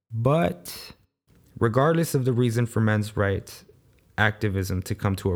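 Against a very clean, silent background, a man talks in a normal speaking voice at a fairly low pitch, with ordinary pitch variation and a moderate pace. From Los Angeles, US (South Central), Salvadoran family. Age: 20s. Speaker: podcast host. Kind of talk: solo monologue podcast.

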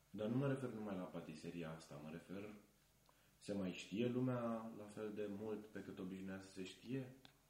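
Audible room echo surrounds a man whose fairly low, dark, mellow voice moves at a moderate pace with ordinary pitch variation. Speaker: film student, festival organizer. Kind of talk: casual chat.

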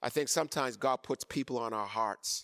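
The man has a medium pitch and an animated tone with ordinary pitch variation. His sound is dry and close, with no echo. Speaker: bishop preacher. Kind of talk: sermon. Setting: church with online viewers. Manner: animated, call-and-response preaching, rising intensity; exhorting the congregation with emphatic repetition.

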